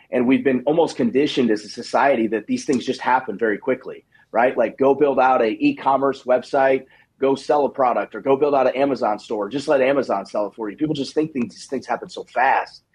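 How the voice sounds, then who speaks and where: At a fairly quick pace, a man speaks in a plain, everyday voice at a medium pitch. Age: 30s. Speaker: digital marketing agency owner. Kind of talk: radio interview.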